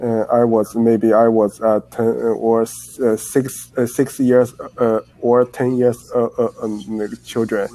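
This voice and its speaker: In a Chinese accent, a man speaks at a very slow pace in a dark, mellow tone. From China. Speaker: English learner. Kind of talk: casual chat. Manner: halting, many hesitations.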